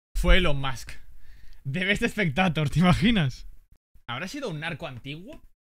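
A man at a moderate pace, high in pitch, with an animated tone, lively intonation, long and frequent pauses, and a quiet background. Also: big swings in loudness. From Spain. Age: 20s. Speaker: gaming streamer. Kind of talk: casual unboxing chat with viewers. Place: home room. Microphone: studio mic.

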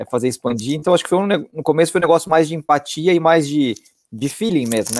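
This man has a fairly high pitch with ordinary pitch variation, and the sound is dry with no echo. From Brazil, São Paulo. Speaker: company co-founder, marketing executive; guest. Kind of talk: casual interview. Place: home room. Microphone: earbuds.

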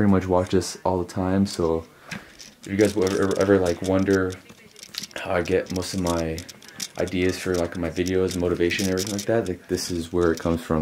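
The man's voice is very deep and low, delivered in a flat monotone. He moves at a fairly quick pace over light background noise. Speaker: fitness vlogger. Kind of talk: casual vlog chat. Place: home room. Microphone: phone near.

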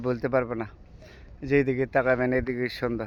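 The man's intonation stays monotone and flat. His pitch is medium. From Bangladesh, Narsingdi district. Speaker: vlogger. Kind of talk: casual vlog narration. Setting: outdoors, travelling through a village.

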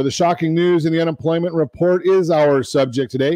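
A man with an American accent speaks in a dark, mellow tone with ordinary pitch variation. The sound is dry with no echo, and the background is quiet. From Southern California. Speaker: radio host. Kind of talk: live radio talk show patter. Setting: studio. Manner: upbeat, chatty, salesmanlike, with humor. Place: studio. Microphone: studio mic.

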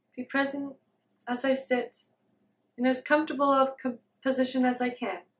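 A woman's high, gentle-toned voice in a monotone, flat intonation. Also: moderate pace. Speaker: meditation video creator, self-described student of meditation. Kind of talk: guided meditation. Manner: gentle, halting with long silences. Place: home room.

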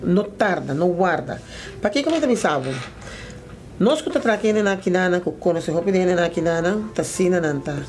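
Over light background noise, a woman speaks at a moderate pace with lively intonation and long, frequent pauses. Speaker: foundation spokesperson / interviewer. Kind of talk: documentary narration and interview. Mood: earnest, serious. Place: office.

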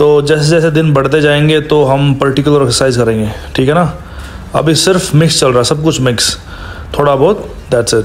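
A plain, everyday voice belongs to a man speaking fairly high at a moderate pace. Intonation is fairly even and loudness very even. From Haryana, India. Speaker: vlogger. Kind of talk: casual talk to camera.

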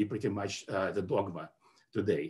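The man's voice is somewhat breathy. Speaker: webinar presenter. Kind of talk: lecture. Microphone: webcam.

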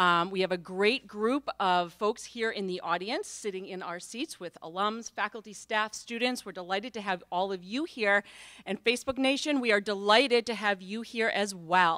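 A woman's bright, sharp voice with ordinary pitch variation against a quiet background. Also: moderate pace. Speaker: event host. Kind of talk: event welcome and introduction. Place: hall. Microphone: podium.

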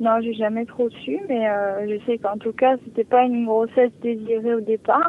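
A woman with an ordinary speaking voice keeps a moderate pace, her fairly high pitch carried by fairly even intonation. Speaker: caller. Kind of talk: personal consultation. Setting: phone call. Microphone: sounds far away.

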